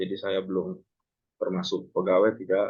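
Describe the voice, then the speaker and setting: The speaker's pitch swings very widely while the pace stays fairly slow. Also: man. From North Sumatra, Pematang Siantar. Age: 30s. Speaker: ship captain and maritime lecturer. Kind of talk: online class introduction. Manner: casual, filler-heavy.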